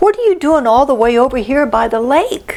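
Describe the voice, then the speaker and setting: A woman puts on a high-pitched character voice. Light background noise can be heard. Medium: read story.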